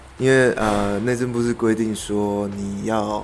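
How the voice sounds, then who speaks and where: In a room with audible echo and noticeable background noise, a man speaks in a fairly low pitch with fairly even intonation. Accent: Taiwanese. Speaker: interior designer. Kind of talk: interview.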